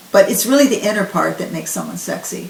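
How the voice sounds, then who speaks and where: Noticeable background noise runs behind a woman's voice. Her pitch is medium, with ordinary variation. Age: 70s. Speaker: raw vegan health advocate. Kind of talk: interview answer.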